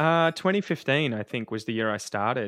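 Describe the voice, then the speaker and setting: This is a man speaking with an Australian accent. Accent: general Australian. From Victoria, Australia (Ocean Grove near Geelong). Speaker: podcaster and English teacher. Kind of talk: casual interview.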